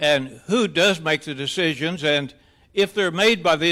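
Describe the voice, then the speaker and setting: A man talks at a fairly slow pace with lively intonation. His tone is bright and sharp. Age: 80s+. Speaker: resident speaking at public comment. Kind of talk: public comment at board meeting. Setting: board meeting room.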